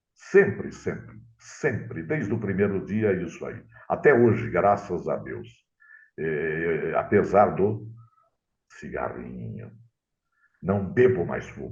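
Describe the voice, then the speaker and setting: A man at a very slow pace, fairly low pitch with vocal fry, very wide pitch swings, big swings in loudness, long, frequent pauses and audible room echo. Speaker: radio announcer. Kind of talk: interview storytelling.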